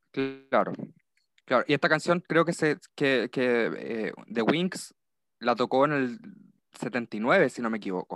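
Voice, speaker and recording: At a very slow pace with long, frequent pauses, a man speaks at a medium pitch with lively intonation, in a very clean recording with a silent background and a dry, close sound with no echo. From Chile. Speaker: university student. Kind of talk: casual chat.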